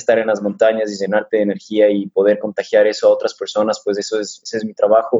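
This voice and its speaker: Very fast speech comes from a man with a medium pitch. His intonation is monotone and flat. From Ecuador. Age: 30s. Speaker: mountain runner. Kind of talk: interview.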